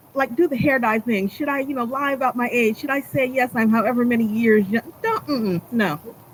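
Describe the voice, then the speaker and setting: Noticeable background noise sits behind this recording. A woman speaks at a fairly quick pace and a fairly high pitch. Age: 60s. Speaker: performance poet. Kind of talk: casual chat. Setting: livestream. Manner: animated.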